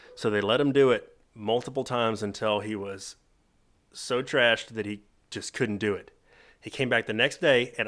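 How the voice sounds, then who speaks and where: On a very clean recording with a silent background, a man with an ordinary speaking voice talks at a fairly quick pace and medium pitch with fairly even intonation. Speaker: podcast host. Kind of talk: casual chat.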